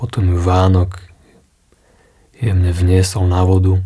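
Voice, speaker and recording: Calm in tone, a man speaks at a fairly slow pace with a very deep, low pitch. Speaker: therapist, hypnotherapist. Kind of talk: sleep talk. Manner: slow, calm.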